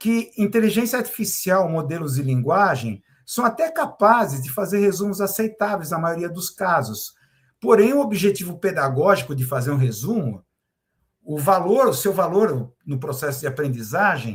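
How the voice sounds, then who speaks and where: Very wide pitch swings in a man's high voice. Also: moderate pace. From Brazil, Santos (São Paulo state coast). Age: 60s. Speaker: university professor and journalist. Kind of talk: commentary monologue to camera. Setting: recorded video, solo to camera. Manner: hesitant, repeats words and fillers.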